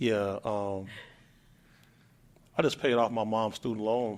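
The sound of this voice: A man's fairly low voice, slow and with fairly even intonation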